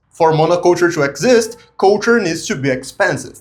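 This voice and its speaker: Speaking at a fairly quick pace, a man with a Portuguese accent uses a high pitch and lively intonation. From Brazil. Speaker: video essayist. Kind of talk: video essay narration.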